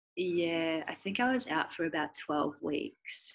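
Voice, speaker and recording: Very deep and low in pitch, a woman talks with a New Zealand accent. Her pace is very slow. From New Zealand, Christchurch. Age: 20s. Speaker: professional cricketer. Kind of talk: casual interview.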